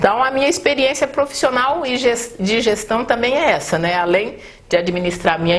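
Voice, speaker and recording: The pitch varies in an ordinary way, and there is noticeable background noise. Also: woman. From northeast Brazil, raised in São Paulo state. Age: 50s. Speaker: mayoral candidate. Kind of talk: interview.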